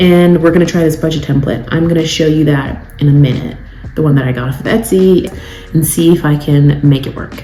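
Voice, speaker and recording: A woman with a very deep, low pitch talks at a fairly quick pace with fairly even intonation. Audible room echo and background music come through. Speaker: lifestyle vlogger. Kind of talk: casual vlog talk to camera. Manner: fast; chatty, filler-heavy.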